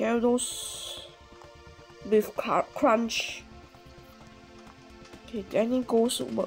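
Over music in the background, a woman speaks at a very slow pace with long, frequent pauses. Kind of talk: casual gameplay commentary.

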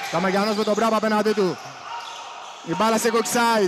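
A man speaks with a high pitch. Noticeable background noise runs under the recording. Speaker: basketball commentator. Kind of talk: live sports commentary. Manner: clipped, breathless calls of each possession.

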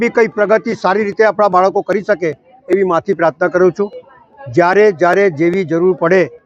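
In a dry, close recording with no echo, a man speaks at a high pitch with fairly even intonation. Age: old. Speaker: local politician. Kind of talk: public speech.

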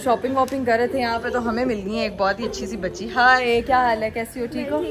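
Moderate pace against crowd noise in the background. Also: woman. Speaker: vlogger. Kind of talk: casual vlog chat. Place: shop. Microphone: phone near.

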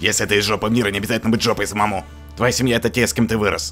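A man's fairly low voice at a very fast pace, ordinary pitch variation and very even loudness, over background music. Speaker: fandub voice performer. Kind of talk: comedic fandub read. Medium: dub.

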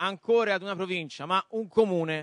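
In a Florentine accent, a man talks at a fairly quick pace with a high pitch and ordinary variation. The sound is dry with no echo, and the background is quiet. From Florence, Tuscany, Italy; Tuscany, Italy. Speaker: debate moderator. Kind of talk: moderated panel debate. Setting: stage with audience. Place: stage. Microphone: handheld.

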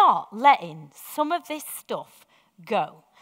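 Over a quiet background, a woman's raised, projected voice comes through with a bright, sharp tone. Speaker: preacher. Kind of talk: sermon. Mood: warm, reflective. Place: church.

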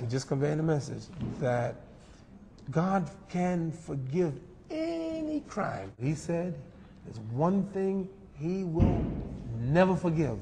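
Speaking at a very slow pace with long, frequent pauses, a man with an American accent uses a high pitch and ordinary pitch variation over light background noise. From New York, USA. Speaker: imam, Islamic speaker and guest. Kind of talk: religious talk in a TV interview. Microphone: lapel.

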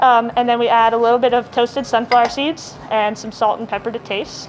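A woman speaks at a fairly quick pace. Her intonation is fairly even, with light background noise. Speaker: guest. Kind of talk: cooking demo and interview answers. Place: bar.

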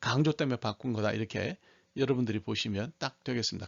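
Speaking at a fairly quick pace, this man has an unremarkable speaking voice. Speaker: Bible English teacher. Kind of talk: tutorial.

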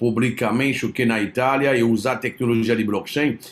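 This man speaks with a French accent. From France. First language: French (speaking Portuguese). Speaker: crypto investment promoter; presenter. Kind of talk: live stream presentation; online sales presentation. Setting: live stream with chat. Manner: halting, many fillers. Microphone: webcam.

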